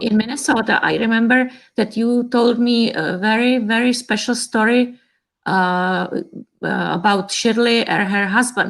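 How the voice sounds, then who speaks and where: A woman speaks with a Czech accent at a fairly slow pace. Her pitch is fairly high and her intonation fairly even. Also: very clean recording, silent background. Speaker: cellist's sister. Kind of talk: casual chat. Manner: hesitant.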